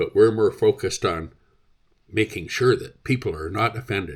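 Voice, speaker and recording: In a very clean recording with a silent background, a man with a Canadian accent speaks at a moderate pace. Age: 60s. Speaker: vlogger. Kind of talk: opinion rant. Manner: animated.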